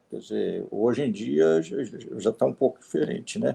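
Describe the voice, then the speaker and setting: There is vocal fry in this man's dark, mellow tone. He keeps a moderate pace and uses very wide pitch swings. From Minas Gerais, Brazil (Divinópolis). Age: 70s. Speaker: retired electrical engineer and volunteer. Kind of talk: interview conversation. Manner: halting, with filler words.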